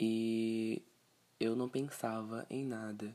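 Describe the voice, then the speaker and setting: Medium in pitch, a man's voice has a dark, mellow tone and fairly even intonation. The recording is very clean, with a silent background. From Brazil, Pará (Castanhal). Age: 20s. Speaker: podcaster. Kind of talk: casual monologue.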